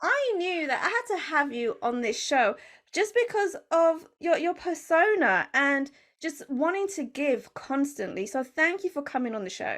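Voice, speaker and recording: Against a quiet background, a woman speaks at a fairly slow pace in an extremely high pitch. Her tone is animated, with very wide pitch swings. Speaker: podcast host. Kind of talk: podcast interview.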